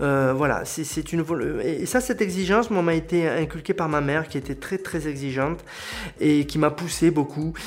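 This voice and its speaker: A fairly high-pitched man, varying his pitch in an ordinary way, talks at a moderate pace amid noticeable background noise. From southern France, Aude. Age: 40s. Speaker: local web TV presenter and butcher. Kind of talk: interview.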